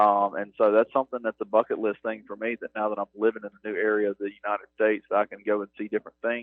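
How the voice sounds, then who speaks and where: A man with a strong North Mississippi accent, talking at a very fast pace. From US South, North Mississippi (Starkville). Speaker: university athletics operations director. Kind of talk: radio interview.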